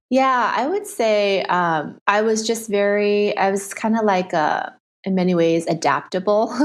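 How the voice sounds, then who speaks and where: In an American accent, a woman speaks at medium pitch and a fairly slow pace, with ordinary pitch variation and very even loudness over a quiet background. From Southern California. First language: Chinese. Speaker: nonprofit founder. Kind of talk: interview conversation.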